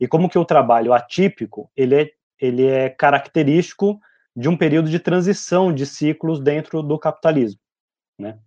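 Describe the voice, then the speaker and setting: A man speaks in a fairly high pitch with a dark, mellow tone and ordinary pitch variation. The sound is dry and close, with no echo. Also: moderate pace, quiet background. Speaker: sociologist and professor. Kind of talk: live stream discussion.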